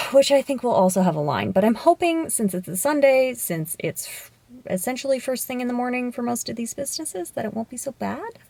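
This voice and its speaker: A high-pitched woman talks at a very fast pace, with very wide pitch swings and big swings in loudness. Noticeable background noise runs beneath her. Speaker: fashion vlogger. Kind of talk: casual vlog.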